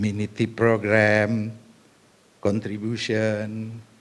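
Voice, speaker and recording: This man speaks with an Indonesian accent. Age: 70s. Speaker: government senior advisor. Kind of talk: conference speech.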